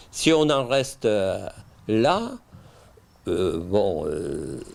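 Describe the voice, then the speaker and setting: A man speaks with audible room echo. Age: 60s. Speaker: winegrower. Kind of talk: interview. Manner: halting.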